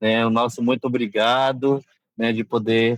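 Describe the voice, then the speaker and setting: At a fairly slow pace, a man speaks in a medium pitch. His intonation is monotone and flat. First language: Nheengatu (Baniwa heritage) (speaking Portuguese). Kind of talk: interview. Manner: halting, many fillers.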